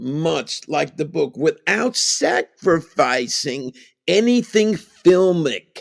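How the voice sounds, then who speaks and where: A man speaks at a very slow pace. The sound is dry and close, with no echo. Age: 70s. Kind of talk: casual chat. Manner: halting.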